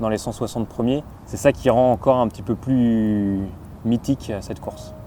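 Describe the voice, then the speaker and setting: A man at a medium pitch, moderate pace and ordinary pitch variation. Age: 30s. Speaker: sports coach and triathlete. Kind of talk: documentary interview.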